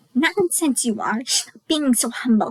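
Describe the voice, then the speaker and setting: A woman uses a squeaky, high-pitched put-on character voice at a moderate pace. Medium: read story. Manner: blunt, outspoken.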